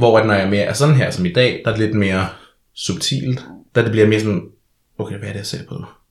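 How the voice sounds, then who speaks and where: A man's somewhat breathy voice at a very fast pace, with ordinary pitch variation and long, frequent pauses. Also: fairly low pitch for a man. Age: 20s. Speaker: drag performer and social science student. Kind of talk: casual chat. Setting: studio.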